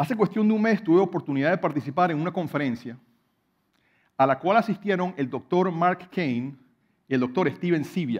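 A man with a high pitch and lively intonation at a fairly quick pace, over a quiet background. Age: 40s. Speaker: hydrologist and professor; professor. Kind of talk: prepared talk to an audience. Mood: personal, reflective, some humour. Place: stage. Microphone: headset.

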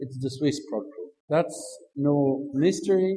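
In a room with audible echo, a man speaks in a fairly high pitch with a dark, mellow, somewhat breathy tone and ordinary pitch variation. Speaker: institute director. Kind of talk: conference talk. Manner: halting.

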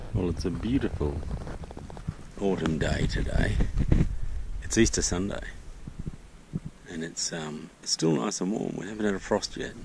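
Against noticeable background noise, a man with a very deep, low pitch talks at a moderate pace with long, frequent pauses, the sound dry with no echo. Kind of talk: casual vlog chat. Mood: relaxed, fond, somewhat reflective. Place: garden. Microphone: phone near.

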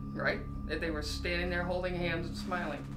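A woman talks with music in the background. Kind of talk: interview answer, storytelling tour. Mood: earnest, animated storytelling. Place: home room. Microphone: camera far.

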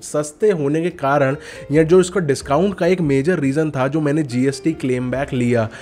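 Music plays in the background as a man speaks at a moderate pace. His voice is fairly high in pitch, with ordinary pitch variation. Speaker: tech YouTuber. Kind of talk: tutorial. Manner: casual.

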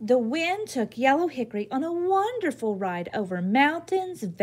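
A natural voice reads the text aloud.

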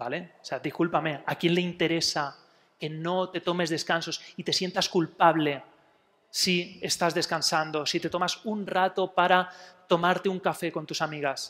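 Fairly slow and high-pitched, a man speaks. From Spain, Elche (Alicante); Spain. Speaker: psychologist giving a talk. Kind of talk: public talk. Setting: museum talk with live audience. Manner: animated, with many fillers. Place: hall.

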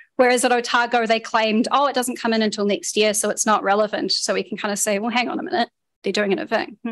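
With a New Zealand accent, a woman speaks very fast at a fairly high pitch with ordinary pitch variation. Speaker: activist speaker, former secondary school teacher. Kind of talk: public talk. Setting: public meeting with audience.

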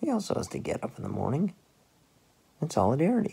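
A man's put-on character voice, fairly high and fast, with very wide pitch swings, vocal fry, a husky, rough edge and a dark, mellow tone

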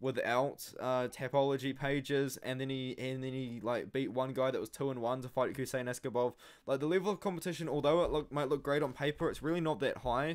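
A man at a fairly quick pace, with fairly even intonation. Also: quiet background. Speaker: MMA analysis channel host. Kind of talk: commentary.

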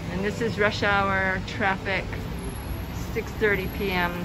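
A woman's voice over loud background noise. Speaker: travel vlogger. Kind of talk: casual vlog narration. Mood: relaxed, a bit wistful. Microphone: phone near.

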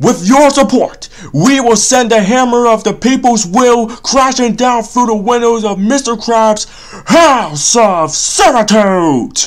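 This cartoonish character voice moves at a fairly slow pace with fairly high pitch over light background noise. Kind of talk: comic cartoon parody voice. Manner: sarcastic, exasperated, grandiose when speechmaking.

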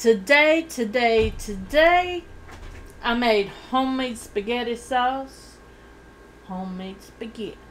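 The speaker talks at a very slow pace. Light background noise is audible. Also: woman. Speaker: eating-show vlogger. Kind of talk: casual vlog chat. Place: home room. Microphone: studio mic.

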